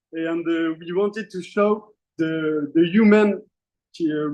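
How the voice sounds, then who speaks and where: Very slowly and with a French accent, a man speaks in a fairly high voice with a dark, mellow tone. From southern France, Marseille. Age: young. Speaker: climate fellow, filmmaker. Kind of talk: presentation. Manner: halting.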